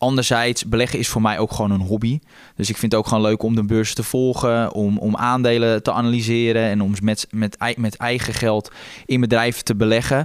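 At a fairly quick pace, a man speaks at medium pitch with monotone, flat intonation and very even loudness. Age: 20s. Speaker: stock analyst. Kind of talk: casual chat.

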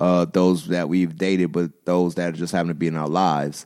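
A very deep, low male voice, flat and monotone, at a fairly quick pace on a very clean recording with a silent background. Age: 30s. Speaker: podcast co-host. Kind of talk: casual chat.

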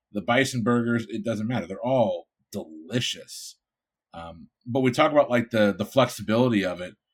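In an American accent, someone with an ordinary speaking voice talks at a moderate pace with ordinary pitch variation and big swings in loudness. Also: man, medium pitch for a man. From Connecticut (Bridgeport). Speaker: food podcast panelist. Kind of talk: casual chat.

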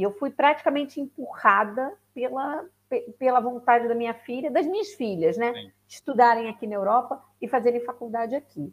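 Her pitch high, a woman speaks with lively intonation and big swings in loudness. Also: moderate pace. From Rio de Janeiro, Brazil. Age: 40s. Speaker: lawyer and immigrant to Portugal. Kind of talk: casual interview on a live stream.

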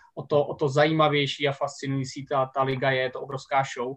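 The voice is somewhat breathy, with monotone, flat intonation. It moves at a fairly quick pace against a quiet background. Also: man. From Czech Republic, Vysočina. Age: 30s. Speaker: American football coach and teacher. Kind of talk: casual podcast interview.

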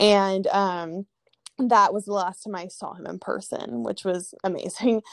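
In a Californian accent, a woman talks at a medium pitch with ordinary pitch variation, over a quiet background and with a dry, close sound with no echo. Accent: Californian American English. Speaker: former college tennis player and abuse survivor. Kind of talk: personal testimony in an interview. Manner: casual, lots of filler words.

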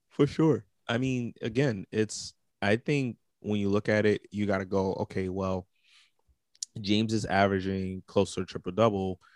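In an ordinary speaking voice, a man with a fairly low pitch talks at a moderate pace with fairly even intonation, in a very clean recording with a silent background and a dry, close sound with no echo. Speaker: podcast co-host. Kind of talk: casual sports banter podcast.

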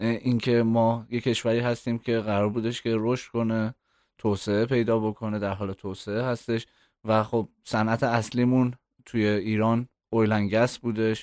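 Medium in pitch and monotone, with flat intonation, a man speaks at a moderate pace. The recording is very clean, with a silent background. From Iran, Tehran. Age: 30s. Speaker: content strategist. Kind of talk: interview.

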